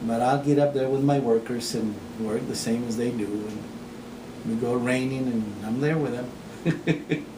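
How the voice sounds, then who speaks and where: Over noticeable background noise and audible room echo, a man at medium pitch speaks at a fairly slow pace with fairly even intonation. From Texas. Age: 60s. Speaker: farmer. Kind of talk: interview. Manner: halting.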